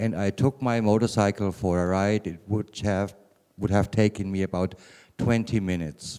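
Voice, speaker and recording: A man speaks with a German accent. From Germany, Bavaria (Würzburg). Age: 50s. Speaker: cannabis patient speaker. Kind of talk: conference talk. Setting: conference room with small audience.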